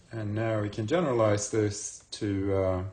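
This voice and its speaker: A man's fairly low voice at a fairly slow pace, ordinary pitch variation, with audible room echo. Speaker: university math professor. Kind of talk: lecture.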